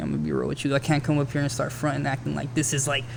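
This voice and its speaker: This is a man talking. His pitch is fairly high. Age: 30s. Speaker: rapper. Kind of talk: casual chat.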